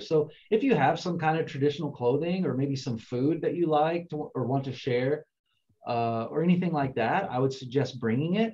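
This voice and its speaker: A man's fairly high, somewhat breathy voice with a dark, mellow tone, an American accent, lively intonation and a moderate pace. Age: 40s. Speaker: international student advisor. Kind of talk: online info session. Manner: casual, conversational.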